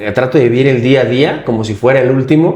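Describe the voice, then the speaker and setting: Audible room echo around a man at a medium pitch, with a dark, mellow tone and a moderate pace. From Mexico, Michoacán. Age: 30s. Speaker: politician and wheelchair user. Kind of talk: interview.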